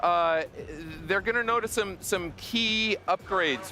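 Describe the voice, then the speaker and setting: Over music in the background, a man speaks loudly. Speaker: game developer representative. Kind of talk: interview. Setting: live show at gaming expo. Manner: halting. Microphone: mic too quiet, replaced.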